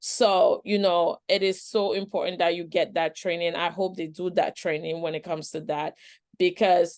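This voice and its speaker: A woman with a non-native accent and a fairly low pitch, at a moderate pace with fairly even intonation, against a quiet background. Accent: noticeable foreign. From outside the Western world, moved to US at age nine. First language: not English. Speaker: trafficking survivor and professional panelist. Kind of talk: webinar panel discussion. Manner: conversational, many fillers and repetitions.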